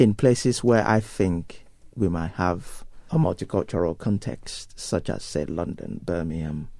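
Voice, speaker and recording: With a Nigerian accent, a man talks at a fairly slow pace in a fairly low pitch, his tone dark and mellow and his intonation lively. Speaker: pastor. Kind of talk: interview. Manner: hesitant, many fillers.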